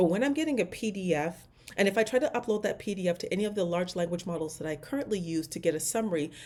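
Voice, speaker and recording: A woman talks at a very fast pace, animated in tone and lively in her intonation. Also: medium pitch for a woman. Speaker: AI trainer and business owner. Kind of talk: casual tutorial monologue.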